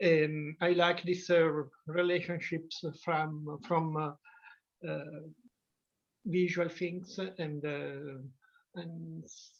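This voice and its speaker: With an Italian accent, the speaker talks at a very slow pace in a monotone, flat intonation, with big swings in loudness and long, frequent pauses. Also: woman. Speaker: artist in residence. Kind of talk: casual group discussion. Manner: halting, many hesitations.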